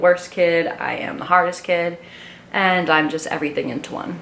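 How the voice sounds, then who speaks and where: With audible room echo, a woman speaks at a moderate pace in a fairly low pitch. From Long Island, New York. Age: 20s. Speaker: vlogger. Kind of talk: casual get-to-know-me vlog monologue. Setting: talking to a camera alone.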